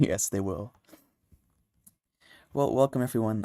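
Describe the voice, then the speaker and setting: A soft-spoken man's voice, fairly low in pitch, with a dark, mellow tone and a dry, close sound with no echo. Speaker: music producer livestreamer. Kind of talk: casual livestream chat. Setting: livestream from home, early morning. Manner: quiet, soft-spoken.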